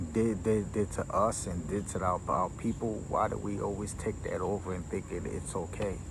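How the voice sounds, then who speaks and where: In an American accent, a man talks at a moderate pace amid audible room echo. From New York, Caribbean family. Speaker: vlogger. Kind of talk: casual monologue. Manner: loud; animated.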